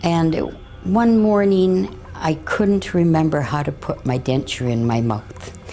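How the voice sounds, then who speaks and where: In a Canadian accent, a woman speaks at a very slow pace with a very deep, low pitch that swings very widely. Her loudness stays very even, and background noise is noticeable. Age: 60s. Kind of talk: interview testimony. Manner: halting, with many fillers.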